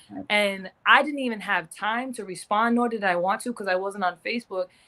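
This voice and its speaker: A woman talks at a moderate pace with an American accent and a fairly high pitch. She has an ordinary speaking voice with ordinary pitch variation. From US Northeast, Providence, Rhode Island. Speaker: professional boxer. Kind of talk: casual interview.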